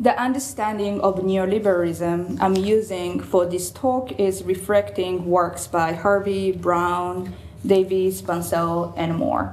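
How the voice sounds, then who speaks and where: A woman's medium-pitched voice with ordinary variation, a fairly slow pace and audible room echo. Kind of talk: lecture. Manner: hesitant, many fillers.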